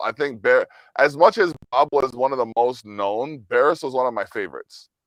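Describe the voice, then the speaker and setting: A man talks at a fairly quick pace and medium pitch. The sound is dry and close with no echo, over a quiet background. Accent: Jamaican. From Jamaican heritage family. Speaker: musician. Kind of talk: casual interview chat. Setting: video call.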